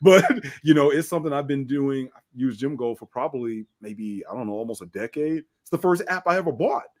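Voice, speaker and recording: A plain, everyday voice from a man, fairly high in pitch, with lively intonation, big swings in loudness, a fairly quick pace and a dry, close sound with no echo. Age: 50s. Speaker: fitness trainer and bodybuilder. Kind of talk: podcast interview.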